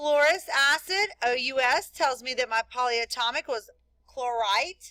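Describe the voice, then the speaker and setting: A woman's high, raised and projected voice with a bright, sharp tone, a fairly slow pace, ordinary pitch variation, and a dry, close sound with no echo. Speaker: chemistry teacher. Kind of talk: classroom lecture.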